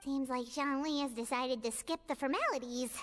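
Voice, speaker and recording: A woman uses a put-on character voice with a high pitch. Her pace is fairly quick. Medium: video game.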